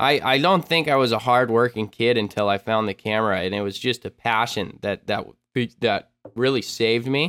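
A man speaks at a medium pitch and a moderate pace. His pitch varies in an ordinary way, in a normal speaking voice. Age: 20s. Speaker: extreme sports YouTuber and filmmaker. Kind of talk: casual chat.

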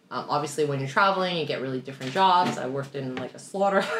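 A woman speaks with a Canadian accent. Background noise is noticeable. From Canada, Toronto. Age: 30s. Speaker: podcast co-host. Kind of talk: casual chat.

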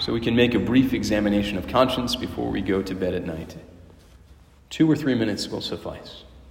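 A man speaks at a fairly quick pace with lively intonation, a warm tone and vocal fry. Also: fairly low pitch for a man. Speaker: priest or prayer leader. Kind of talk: guided prayer, spoken aloud to God and then to the listeners. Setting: church, a Wednesday evening prayer gathering. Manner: reverent, warm and conversational, with hesitations and restarts.

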